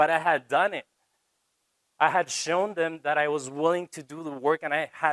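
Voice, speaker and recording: With a Spanish accent, a man speaks at a moderate pace in a fairly high pitch, the sound dry and close with no echo. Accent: Spanish accent in English, choppy. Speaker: TV reporter. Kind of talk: college talk to students.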